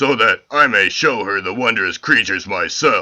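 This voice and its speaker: A man speaks in a put-on character voice. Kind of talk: heroic declamation. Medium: audio drama. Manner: formal, grandiose.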